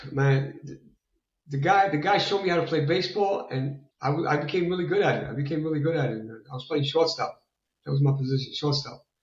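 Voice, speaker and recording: Talking at a very fast pace, a man with a New York accent uses a fairly high pitch. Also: ordinary pitch variation. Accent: sounds like a New Yorker. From Italy. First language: Italian. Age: 60s. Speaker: fitness enthusiast. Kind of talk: interview. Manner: repetitive, halting.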